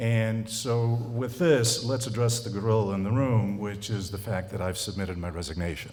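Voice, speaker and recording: A man with an American accent talks at a moderate pace. There is noticeable background noise and audible room echo. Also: medium pitch for a man, ordinary pitch variation. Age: 70s. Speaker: college president. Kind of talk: speech to clergy. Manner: halting.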